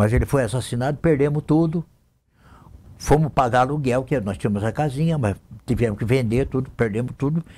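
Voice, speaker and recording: The voice is somewhat breathy with a dark, mellow tone and moves at a fairly quick pace. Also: man, medium pitch for a man, ordinary pitch variation. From Brazil, interior of São Paulo state (Lins). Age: 70s. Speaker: city councillor and radio broadcaster. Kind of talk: interview, life story. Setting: TV studio.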